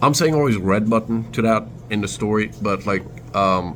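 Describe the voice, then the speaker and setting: A man with a fairly low voice over noticeable background noise. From Turkey, Istanbul. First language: Turkish. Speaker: vlogger. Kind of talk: casual storytelling vlog. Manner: halting, many fillers.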